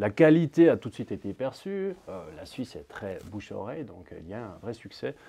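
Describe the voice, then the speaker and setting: A man at medium pitch with a dark, mellow tone, very wide pitch swings and big swings in loudness, at a fairly quick pace with hardly any pauses, over a quiet background. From Switzerland. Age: 40s. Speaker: sales manager. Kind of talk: interview.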